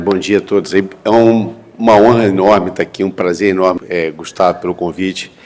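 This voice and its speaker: The man's very deep, low voice holds fairly even intonation as he talks at a middling speed. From Brazil, Rio de Janeiro state (Pádua, then Rio). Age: 60s. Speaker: physician, entrepreneur and investor. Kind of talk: panel talk at a medical congress. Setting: university auditorium with audience. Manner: conversational, with hesitations.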